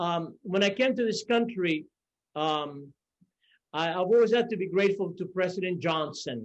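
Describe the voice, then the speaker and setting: With a Cuban accent, a man talks at a high pitch and moderate pace, his pitch varying in an ordinary way. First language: Spanish. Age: 60s. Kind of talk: conference panel remarks.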